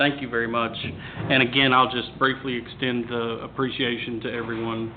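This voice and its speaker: A man's medium-pitched, monotone voice in an American accent, with audible room echo and noticeable background noise. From US South, Tennessee. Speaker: agricultural advisor. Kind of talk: panel discussion. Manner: halting.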